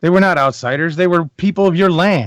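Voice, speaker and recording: A man puts on a character voice, pitched high with ordinary pitch variation. He talks at a fairly quick pace. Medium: actual play. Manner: confrontational, earnest.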